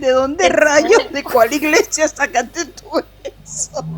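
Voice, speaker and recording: A woman speaks at a very slow pace with high pitch and lively intonation. Noticeable background noise runs under her voice. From Venezuela. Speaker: co-host. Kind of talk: casual interview.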